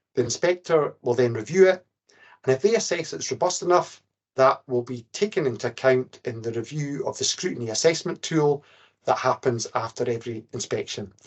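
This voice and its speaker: A man speaks in an unremarkable speaking voice at medium pitch, with lively intonation and a moderate pace. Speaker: care inspector presenting briefing. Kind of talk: webinar presentation.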